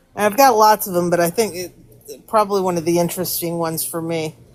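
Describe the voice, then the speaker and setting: A woman speaks in an unremarkable speaking voice at a fairly low pitch, with fairly even intonation. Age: 60s. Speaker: caller sharing paranormal story. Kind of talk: personal storytelling. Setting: live stream call.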